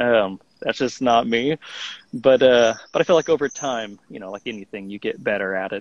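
A man talks at a moderate pace and medium pitch, with ordinary pitch variation. His loudness swings widely in an unremarkable speaking voice. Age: 20s. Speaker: songwriter and music producer. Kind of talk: casual interview.

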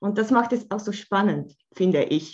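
Somewhat breathy, a woman speaks at a fairly slow pace with lively intonation. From Switzerland, Bern. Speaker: art therapist. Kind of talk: casual interview.

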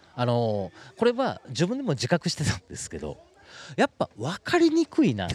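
Loudness swings widely as a man talks at a moderate pace in a dry, close sound with no echo. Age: 50s. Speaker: podcast MC and vegetarian food activist. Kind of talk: casual conversation.

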